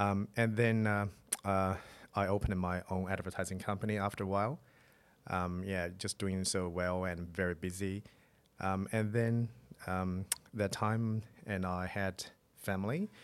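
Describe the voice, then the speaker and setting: A man with a Chinese accent speaks at a very deep, low pitch in a flat monotone, at a moderate pace. Long, frequent pauses break up his speech on a very clean recording with a silent background. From China. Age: 40s. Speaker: real estate agent. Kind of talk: interview.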